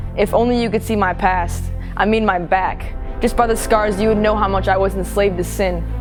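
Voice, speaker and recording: A woman's flat, monotone voice at a fairly quick pace over background music. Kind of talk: spoken word poetry performance. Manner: impassioned, testimonial.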